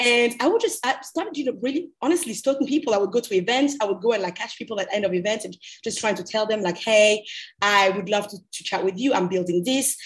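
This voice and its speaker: Talking at a very fast pace, a woman sounds somewhat breathy in a fairly high pitch. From Cameroon. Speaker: MBA student and entrepreneur. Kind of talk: podcast interview. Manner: many filler words.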